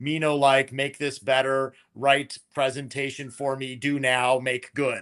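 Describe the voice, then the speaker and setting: A man in a put-on character voice talks at a fairly slow pace with monotone, flat intonation, medium pitch and hardly any pauses against a quiet background. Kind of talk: broken, clipped speech. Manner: mocking.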